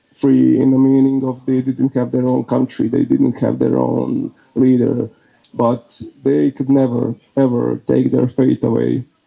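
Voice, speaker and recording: A man with a Croatian accent, his loudness very even throughout. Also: fairly slow pace. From Bosnia and Herzegovina (Herzegovina, Croatian). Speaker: speaker at a faith event, leader of a men's prayer group. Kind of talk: talk to an audience. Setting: speaking before an audience. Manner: halting, many fillers.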